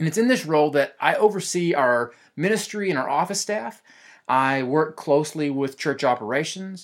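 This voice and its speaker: On a very clean recording with a silent background, a man with a fairly high pitch and an unremarkable speaking voice talks at a moderate pace with lively intonation. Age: 20s. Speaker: pastor and worship leader. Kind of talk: podcast monologue.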